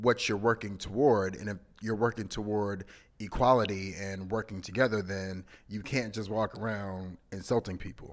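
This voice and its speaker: At a moderate pace, an unremarkable speaking voice comes through a very clean recording with a silent background. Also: man. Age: 30s. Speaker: podcast co-host. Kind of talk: casual chat.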